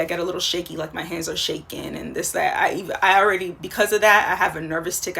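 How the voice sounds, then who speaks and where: A woman's fairly low voice comes through in monotone, flat intonation. There is noticeable background noise. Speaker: life coach. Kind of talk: casual vlog monologue. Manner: fast; halting, many fillers and restarts.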